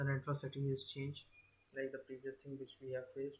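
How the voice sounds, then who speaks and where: A man talks at a fairly high pitch in a somewhat breathy voice. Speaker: cloud computing instructor. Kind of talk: live online lecture. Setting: live stream. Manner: hesitant, many fillers.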